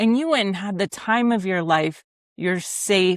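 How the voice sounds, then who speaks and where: Recorded with a dry, close sound and no echo, a woman speaks in an unremarkable speaking voice with an American accent, a medium pitch and ordinary pitch variation. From Ohio, US Midwest. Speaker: podcast host. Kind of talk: interview conversation.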